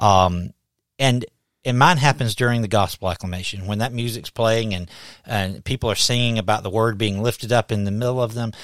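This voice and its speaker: In a very clean recording with a silent background and a dry, close sound with no echo, a man speaks with a Southern US accent. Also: medium pitch for a man, ordinary pitch variation. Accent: Southern US drawl. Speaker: pastor and podcast host. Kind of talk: casual interview conversation. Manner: animated.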